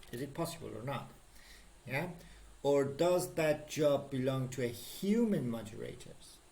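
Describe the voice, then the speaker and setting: Amid audible room echo, a somewhat breathy man with fairly high pitch and ordinary pitch variation speaks with long, frequent pauses. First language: Persian. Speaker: programming instructor. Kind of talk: lecture. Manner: halting, many fillers.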